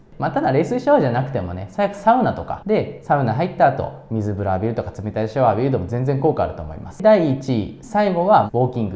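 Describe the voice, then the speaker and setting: A man's very fast delivery with hardly any pauses, very wide pitch swings and audible room echo. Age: 30s. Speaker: business owner and self-improvement YouTuber; self-improvement YouTuber. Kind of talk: tutorial. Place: home room. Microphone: lapel.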